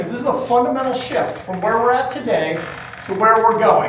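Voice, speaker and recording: A loud, animated man with a high pitch and lively intonation speaks amid audible room echo and noticeable background noise. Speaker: running store owner presenting at a trade event. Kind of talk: conference presentation. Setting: stage with live audience, using a microphone.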